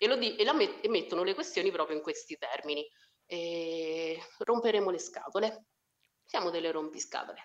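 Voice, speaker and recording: Speaking at a moderate pace with a strong Umbrian accent, a woman at a medium pitch makes very wide pitch swings. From Umbria, Italy (Spello, near Assisi). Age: 30s. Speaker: social worker. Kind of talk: casual chat.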